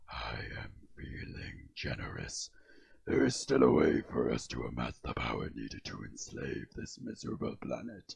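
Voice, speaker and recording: A man's put-on character voice. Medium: dub. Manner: menacing, domineering.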